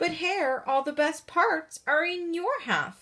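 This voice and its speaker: A woman growls at a fairly slow pace in a put-on character voice pitched extremely high. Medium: read story. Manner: slow, drowsy.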